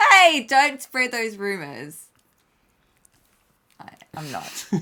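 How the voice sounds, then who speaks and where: The delivery moves at a very slow pace. Its pitch swings very widely. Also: woman, fairly high pitch for a woman. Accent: slight Australian. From Australia. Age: 30s. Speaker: travel vlogger. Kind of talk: casual chat. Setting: live stream.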